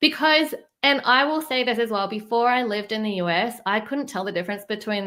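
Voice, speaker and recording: A woman with a bright, sharp tone, fairly high pitch and ordinary pitch variation, on a very clean recording with a silent background. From New Zealand, then Australia from 14. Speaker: fundraising writer. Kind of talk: interview.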